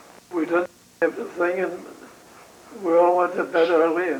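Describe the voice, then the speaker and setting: Amid noticeable background noise, a man with an American accent talks at a moderate pace in a high pitch. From New York City. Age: 80s+. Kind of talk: interview answer.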